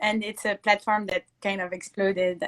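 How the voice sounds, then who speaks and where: With a French accent, a woman speaks at medium pitch in a dry, close sound with no echo. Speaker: Instagram live interviewer. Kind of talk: interview. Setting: Instagram live video call.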